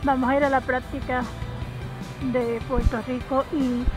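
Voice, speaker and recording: A woman speaks with music in the background, the sound dry with no echo. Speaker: vlogger. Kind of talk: casual vlog chat. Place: street. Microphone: phone near.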